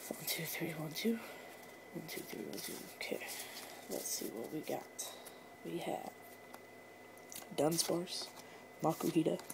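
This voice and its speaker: The voice is quiet, moving at a fairly slow pace with long, frequent pauses. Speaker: YouTuber opening trading card packs. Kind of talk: casual pack-opening commentary. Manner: quiet, keeping voice down.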